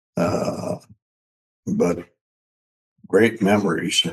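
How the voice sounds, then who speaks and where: A man with fairly even intonation. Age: 90s. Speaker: attorney. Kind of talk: casual chat. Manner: halting.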